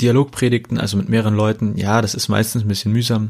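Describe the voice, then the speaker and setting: A man speaks very fast in a fairly low voice. His intonation is monotone and flat. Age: 30s. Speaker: pastor. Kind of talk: casual podcast monologue.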